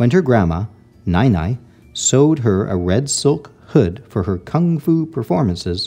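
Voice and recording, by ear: A voice reads the text aloud in a natural way.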